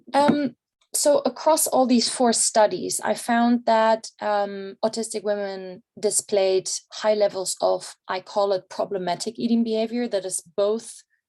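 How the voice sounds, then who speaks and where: A woman speaks with a German accent. Her pace is fairly slow and her pitch variation ordinary. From Germany. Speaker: researcher. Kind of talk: conference presentation. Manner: many filler words and hesitations.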